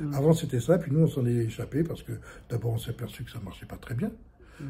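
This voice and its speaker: A man speaks very fast in a medium-pitched, somewhat breathy voice with a dark, mellow tone. His pitch varies in an ordinary way. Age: 70s. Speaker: general practitioner. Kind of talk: interview answer.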